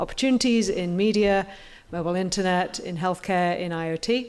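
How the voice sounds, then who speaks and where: Speaking with an English accent, a woman keeps a moderate pace at a medium pitch. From England. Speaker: competition judge. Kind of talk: self-introduction on stage. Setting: stage with audience. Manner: hesitant, many fillers.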